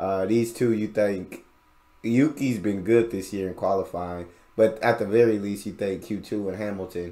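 A man speaks in a fairly low pitch. His tone is dark and mellow. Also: moderate pace. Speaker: reaction youtuber. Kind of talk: casual video reaction, chatting to viewers. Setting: home recording, reacting to a video. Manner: animated, conversational, excitable.

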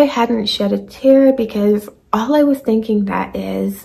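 A woman speaks somewhat breathily at a fairly slow pace. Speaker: vlogger. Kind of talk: casual story time vlog. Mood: animated, dramatic retelling. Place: home room. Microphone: phone near.

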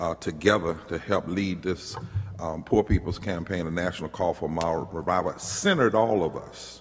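Faint music plays in the background. A man speaks in a very deep, low pitch with fairly even intonation. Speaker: minister. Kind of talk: speech to an audience. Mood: warm, grateful, joking. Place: hall. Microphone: podium.

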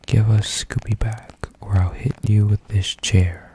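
The voice is soft-spoken and monotone, with flat intonation. It goes at a fairly slow pace in a dry sound with no echo. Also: man. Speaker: storyteller. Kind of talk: soft spoken story reading. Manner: soft ASMR storytelling voice. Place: home room. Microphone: studio mic.

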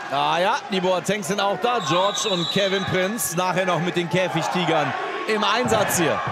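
A high-pitched man speaks at a moderate pace with ordinary pitch variation and very even loudness. Noticeable background noise runs underneath. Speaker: live match commentator. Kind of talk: live sports commentary, play-by-play. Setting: in the hall with crowd.

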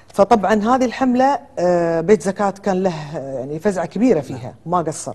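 A woman's voice at a moderate pace, with very wide pitch swings. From Kuwait. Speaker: lawyer and businesswoman; lawyer. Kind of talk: TV talk show interview. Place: studio. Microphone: lapel.

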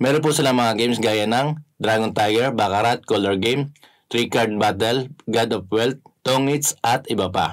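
A moderately paced man against a quiet background. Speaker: app tutorial host. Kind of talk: tutorial. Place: home room.

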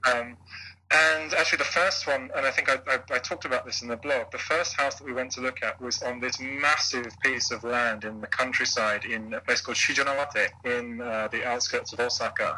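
Over noticeable background noise, a man with a British accent talks at a fairly quick pace. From UK. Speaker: blogger and former English teacher. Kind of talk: interview.

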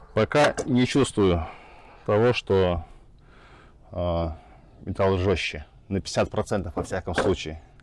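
The speaker is a man with a low pitch and ordinary pitch variation. He talks at a fairly slow pace, with long, frequent pauses.

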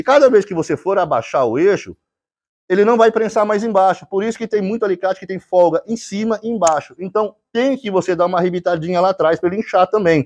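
A man speaks with a high-pitched voice. His pitch rises and falls in an ordinary way. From Brazil. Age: 50s. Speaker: YouTuber, tool sharpener. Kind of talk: angry rebuttal monologue; casual vlog rant and technical explanation. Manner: heated, confrontational. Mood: annoyed, defiant toward critics. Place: workshop. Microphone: lapel.

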